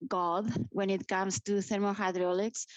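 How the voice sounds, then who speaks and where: Flat, monotone intonation marks this speech, delivered at a moderate pace. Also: woman. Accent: Spanish. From Spain (grew up in Madrid). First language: Spanish. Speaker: nuclear industry association director. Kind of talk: interview.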